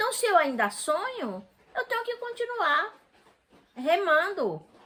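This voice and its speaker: A woman speaks in a raised, projected voice. Her pace is fairly slow and her pitch swings very widely. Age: 60s. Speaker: interviewee, mother of the channel owner. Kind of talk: casual chat.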